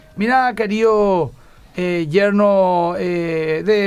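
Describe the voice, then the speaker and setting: A man's high-pitched voice. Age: 40s. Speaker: pastor. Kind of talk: radio talk on relationship advice.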